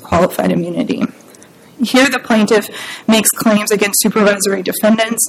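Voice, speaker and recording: A woman speaks at a fairly quick pace with a fairly high pitch. There is noticeable background noise. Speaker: appellate lawyer. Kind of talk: courtroom oral argument. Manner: formal.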